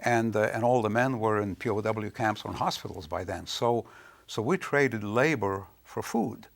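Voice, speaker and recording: Speaking at a moderate pace, a man has a Lithuanian accent. His pitch variation is ordinary. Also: medium pitch for a man. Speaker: author. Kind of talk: interview. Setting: studio. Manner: hesitant, with fillers.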